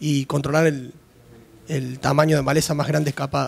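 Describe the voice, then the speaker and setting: At a fairly quick clip, a man is talking. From Argentina, Santa Fe (Rafaela area). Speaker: audience member, farmer. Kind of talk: audience question and comment. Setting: conference workshop with audience. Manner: halting. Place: hall. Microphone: podium.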